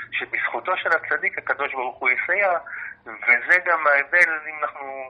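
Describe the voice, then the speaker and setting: There is noticeable background noise as a man speaks in a fairly high pitch. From Israel, Jaffa. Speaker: university lecturer and researcher. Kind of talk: interview.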